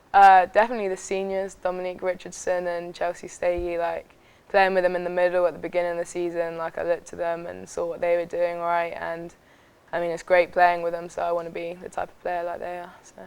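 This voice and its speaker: With an English accent, a woman speaks very fast at a fairly low pitch, her intonation flat and monotone. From England, Southampton. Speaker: college soccer player. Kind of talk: interview.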